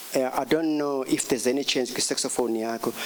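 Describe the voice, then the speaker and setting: A man of medium pitch talks at a moderate pace with fairly even intonation while noticeable background noise carries on. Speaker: jazz saxophonist. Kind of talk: music workshop talk. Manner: halting, many fillers.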